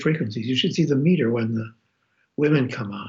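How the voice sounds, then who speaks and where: A somewhat breathy man's voice, medium in pitch, with fairly even intonation. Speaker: former public radio executive. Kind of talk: interview. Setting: phone call.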